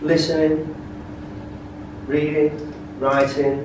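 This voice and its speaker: A man with a fairly high pitch, audible room echo, and noticeable background noise. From northern England, Lancashire. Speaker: English teacher. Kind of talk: lecture. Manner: slow, repetitive.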